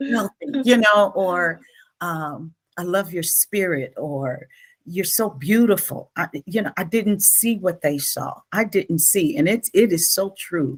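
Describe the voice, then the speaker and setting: A woman's somewhat breathy, medium-pitched voice at a very slow pace, with lively intonation. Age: 60s. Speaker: author, coach and speaker. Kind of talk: interview conversation. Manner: animated.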